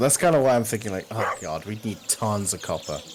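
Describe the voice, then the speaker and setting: A man at a very fast clip, with noticeable background noise behind him. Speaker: streamer. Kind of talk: casual chat while gaming. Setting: live stream.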